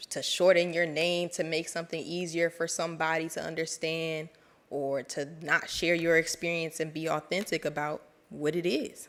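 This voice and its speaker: A woman's fairly low, monotone, flat voice with an American accent at a moderate pace, on a very clean recording with a silent background. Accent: DC accent with slight Southern twang. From Washington DC. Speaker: program alum speaker. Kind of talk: speech to graduates.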